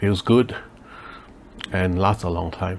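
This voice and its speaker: A man whispering over noticeable background noise. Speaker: leathercraft maker. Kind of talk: tutorial. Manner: hesitant with many fillers.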